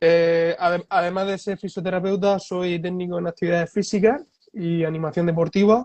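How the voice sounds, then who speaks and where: A man with a high pitch speaks in a dry, close sound with no echo. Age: 20s. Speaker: physiotherapist. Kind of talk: interview. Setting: Instagram live stream.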